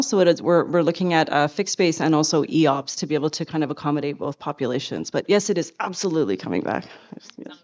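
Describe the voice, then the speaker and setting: A woman speaks very fast in a fairly low pitch, with lively intonation. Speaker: hospital administrator. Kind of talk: conference presentation.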